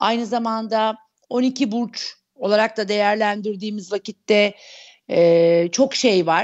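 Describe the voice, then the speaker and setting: A woman with a fairly high pitch speaks over a quiet background. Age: 40s. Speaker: astrologer; guest. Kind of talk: interview. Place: home room. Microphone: earbuds.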